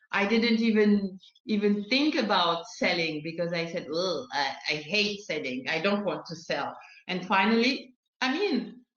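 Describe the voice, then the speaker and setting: A woman's medium-pitched voice with a French accent, lively intonation and a fairly slow pace, plus audible room echo. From France. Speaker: sales consultant and coach. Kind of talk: interview. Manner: halting.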